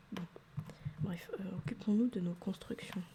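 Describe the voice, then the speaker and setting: Over noticeable background noise, a soft-spoken woman talks in a relaxed tone, her medium pitch showing ordinary variation. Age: 20s. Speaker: ASMR creator. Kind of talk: ASMR gaming commentary. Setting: home microphone setup. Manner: soft-spoken, relaxed.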